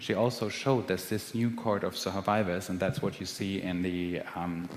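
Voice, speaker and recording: A man speaks with a German accent at a very deep, low pitch and a moderate pace. His pitch varies in an ordinary way, and audible room echo surrounds him. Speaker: physician researcher. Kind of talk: lecture.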